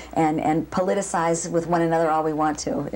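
A woman speaks with an American accent. Her pitch is fairly low. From Boston. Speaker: ballet dancer and dance professor. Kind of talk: interview. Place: home room.

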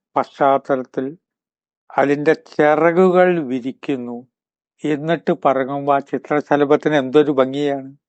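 A man with a normal speaking voice, fairly high pitch and fairly even intonation, with a quiet background and a dry, close sound with no echo. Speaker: spiritual speaker, writer. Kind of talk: motivational talk.

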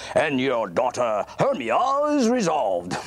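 A man in a cartoonish character voice swings his pitch very widely at a moderate pace over light background noise. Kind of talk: puppet theater acting. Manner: hearty, pleased, genial.

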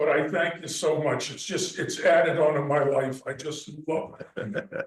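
A moderate pace, an American accent and audible room echo. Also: man. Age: 70s. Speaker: local businessman addressing town board. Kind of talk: public comment at town meeting. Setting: town hall meeting room. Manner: rambling, conversational.

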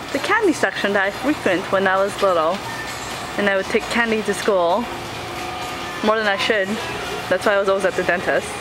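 Over music in the background, a woman talks at a fairly quick pace. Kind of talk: casual vlog chat. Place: shop. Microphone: phone near.

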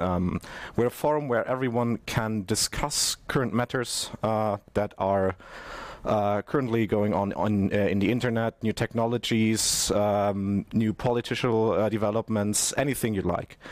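With an ordinary speaking voice, a man talks at a fairly low pitch in a dry sound with no echo. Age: 20s. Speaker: network architect; conference presenter. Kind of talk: conference presentation. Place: studio.

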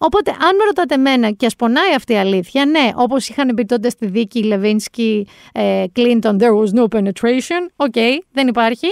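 A woman with a high pitch speaks at a moderate pace with hardly any pauses, in an animated tone with lively intonation and very even loudness. The recording is very clean and dry, close with no echo and a silent background. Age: 40s. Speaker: podcast host. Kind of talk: casual chat.

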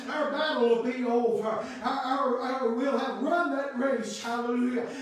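In a room with strong echo, a man with an extremely high voice speaks at a moderate pace in a flat monotone. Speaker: Baptist preacher. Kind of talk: sermon, preaching to a congregation with call-and-response amens. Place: church. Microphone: camera far.

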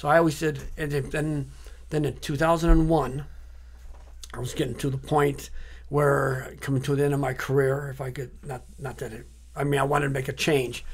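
With vocal fry and a fairly high pitch, a man speaks at a moderate pace in a monotone, flat intonation, his loudness swinging widely. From Durban. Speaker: artist; interview guest. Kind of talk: interview. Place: studio. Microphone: studio mic.

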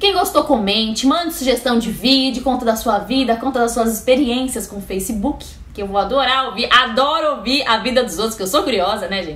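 High-pitched woman's voice at a moderate pace, with audible room echo. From Brazil. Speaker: YouTuber. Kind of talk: casual vlog monologue. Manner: animated. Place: home room. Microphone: webcam.

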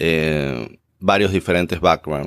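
A man speaks at a fairly slow pace in a Rioplatense accent. The recording is very clean, with a silent background. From Buenos Aires, Argentina. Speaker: graduate student, pharmacist. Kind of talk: interview. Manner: hesitant, many fillers.

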